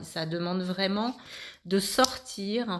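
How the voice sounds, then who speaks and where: In a plain, everyday voice with ordinary pitch variation, the speaker is heard on a very clean recording against a silent background. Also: woman. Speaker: spiritual medium, card reader. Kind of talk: channelled card reading monologue.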